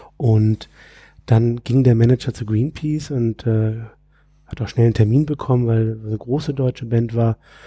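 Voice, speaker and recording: A man speaks in a dark, mellow, somewhat breathy tone. His intonation is fairly even, and the sound is dry and close with no echo. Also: medium pitch for a man, moderate pace. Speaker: music industry and sustainability entrepreneur. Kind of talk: casual interview conversation. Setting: conference room, in person.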